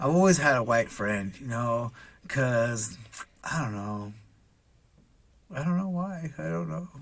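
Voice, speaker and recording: With a Pacific Northwest accent, a man of medium pitch talks at a fairly slow pace, leaving long, frequent pauses as his pitch swings very widely. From Washington state, Redmond. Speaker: business owner and single dad. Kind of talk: casual chat. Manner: halting, many fillers.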